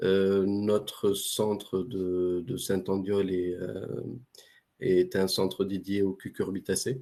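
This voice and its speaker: Flat, monotone intonation carries a dark, mellow tone. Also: man. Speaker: research center director. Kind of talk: webinar presentation. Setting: online webinar.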